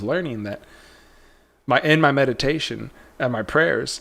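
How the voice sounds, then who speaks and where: In a very clean recording with a silent background, a man of medium pitch talks at a fairly quick pace with ordinary pitch variation. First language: not Spanish; speaks it slowly. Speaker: trading livestream host. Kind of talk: casual livestream chat. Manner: animated, storytelling.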